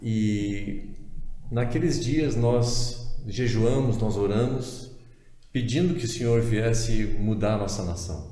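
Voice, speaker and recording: Amid noticeable background noise and audible room echo, a man speaks at a very slow pace with medium pitch and ordinary pitch variation. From southern Brazil, Porto Alegre. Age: 50s. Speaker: pastor and denomination president. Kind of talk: podcast interview. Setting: studio.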